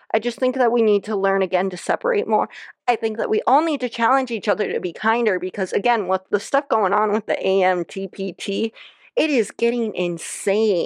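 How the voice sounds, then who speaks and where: A woman with a fairly high pitch and a plain, everyday voice speaks at a fairly quick pace with ordinary pitch variation, the sound dry and close with no echo over a quiet background. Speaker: podcast host. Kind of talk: casual solo commentary.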